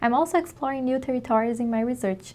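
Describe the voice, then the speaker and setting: In a very clean recording with a silent background, a voice with a dark, mellow tone speaks with a Brazilian accent and ordinary pitch variation. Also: woman. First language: Portuguese. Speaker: PhD researcher in ecology. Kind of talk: scripted self-introduction.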